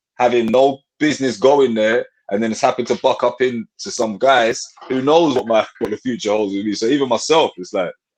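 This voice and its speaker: Speaking with a London accent, a man keeps a fairly quick pace, a medium pitch and ordinary pitch variation. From north London (Tottenham). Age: 30s. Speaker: rapper. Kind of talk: casual chat.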